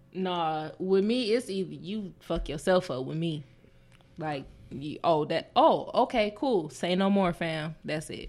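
An unremarkable speaking voice from a woman in an American accent, fairly low in pitch with lively intonation, at a fairly slow pace, in a very clean recording with a silent background. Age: 30s. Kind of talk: casual chat.

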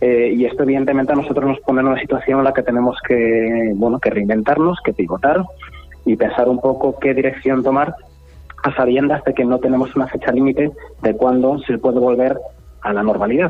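Amid noticeable background noise, a man speaks at a medium pitch and a fairly quick pace, his intonation fairly even and his loudness very even. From Asturias, Spain. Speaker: startup founder. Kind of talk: radio interview.

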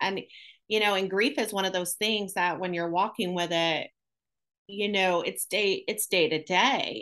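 A woman's medium-pitched voice with ordinary pitch variation over a quiet background. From Syracuse, upstate New York. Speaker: guest, anti-trafficking survivor advocate and ministry worker. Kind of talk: casual interview conversation.

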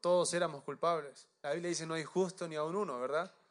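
A man speaks in an ordinary speaking voice. His pitch is fairly high, and he moves at a fairly quick pace. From Chile. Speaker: pastor. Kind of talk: sermon.

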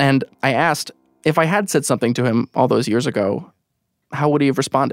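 An ordinary speaking voice: a man with an American accent talks at a fairly quick pace and a fairly high pitch with ordinary pitch variation, in a dry, close sound with no echo on a very clean recording with a silent background. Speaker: radio producer and storyteller. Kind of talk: personal storytelling narration.

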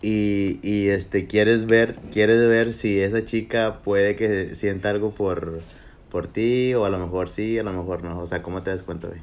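With fairly even intonation and a fairly low pitch, a man talks fairly slowly. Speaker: podcast co-host. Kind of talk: casual chat. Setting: livestream on Facebook. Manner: loud.

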